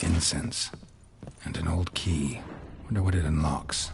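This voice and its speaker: A man speaks in a put-on character voice, pitched very deep and low, at a moderate pace. Sound effects play behind him amid clear background noise. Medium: machinima. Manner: terse, flat.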